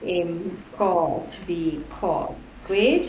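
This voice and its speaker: Her intonation is lively, and audible room echo surrounds this woman's voice. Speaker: physics teacher. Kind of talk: lesson.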